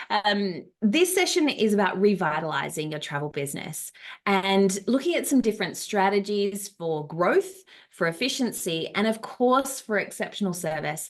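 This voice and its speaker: With lively intonation and a medium pitch, a woman speaks at a moderate pace. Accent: Australian. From Australia. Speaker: travel business coach and founder. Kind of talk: live online workshop. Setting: Zoom video call. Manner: animated.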